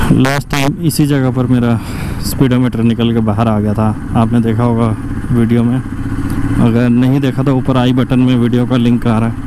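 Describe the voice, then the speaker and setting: A man at a fairly slow pace, dry sound with no echo, noticeable background noise behind him. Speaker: motorcycle vlogger. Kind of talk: casual vlog chat. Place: motorbike. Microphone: helmet.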